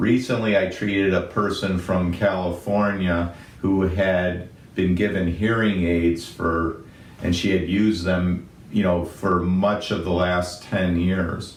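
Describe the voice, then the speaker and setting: A man speaks at a fairly slow pace in a very deep, low voice with monotone, flat intonation and very even loudness. Audible room echo surrounds him. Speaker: physician. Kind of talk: medical explainer.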